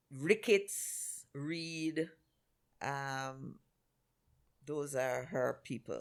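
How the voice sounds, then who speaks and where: On a very clean recording with a silent background, a woman with a very deep, low pitch and ordinary pitch variation speaks at a very slow pace with long, frequent pauses. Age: 60s. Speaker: angel investor. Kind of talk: interview.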